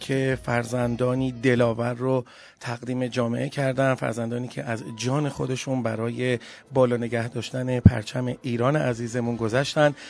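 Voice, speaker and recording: Here a man speaks in an ordinary speaking voice at medium pitch, with fairly even intonation and a moderate pace. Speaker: radio podcast host. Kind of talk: radio show presenting; storytelling.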